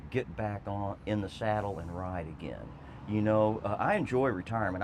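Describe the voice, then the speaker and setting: In a normal speaking voice, a man with an American accent speaks at a moderate pace, fairly low in pitch with ordinary pitch variation. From Texas. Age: 60s. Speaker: former state legislator and trail advocate. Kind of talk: interview.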